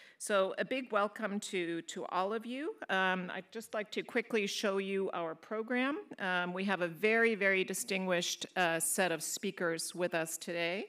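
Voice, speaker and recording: In a very clean recording with a silent background, a woman speaks at a moderate pace in a normal speaking voice, medium in pitch with ordinary pitch variation. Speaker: moderator. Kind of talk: panel moderation. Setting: stage with audience.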